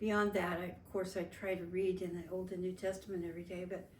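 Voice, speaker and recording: Audible room echo surrounds a woman speaking at a fairly quick pace with an American accent. Her medium-pitched voice stays flat and monotone. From Las Vegas, Nevada, US. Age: 70s. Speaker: family interviewee. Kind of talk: oral history interview. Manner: halting, with frequent fillers.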